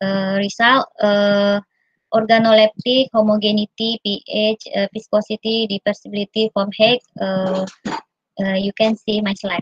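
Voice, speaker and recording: A woman talks in a monotone with flat intonation. The sound is dry with no echo, and faint music plays in the background. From Indonesia. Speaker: university researcher; conference presenter. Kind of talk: conference presentation. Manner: halting. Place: home room. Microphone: video call.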